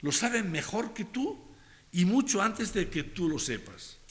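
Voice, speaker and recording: The voice moves in very wide pitch swings. Audible room echo surrounds it. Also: man. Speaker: pastor. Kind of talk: sermon. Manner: slow.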